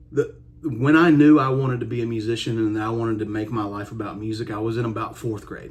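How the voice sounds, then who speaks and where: Talking at a very fast pace, a man with a strong Kentucky accent uses ordinary pitch variation. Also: medium pitch for a man. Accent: strong Kentucky country. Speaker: country musician. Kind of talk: casual vlog monologue. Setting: home music room. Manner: relaxed with many fillers.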